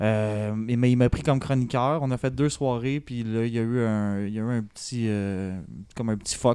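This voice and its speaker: On a very clean recording with a silent background, a man speaks at a moderate pace and medium pitch, his tone dark and mellow and his intonation fairly even. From Quebec, north shore of Montreal. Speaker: beginning comedian. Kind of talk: casual chat.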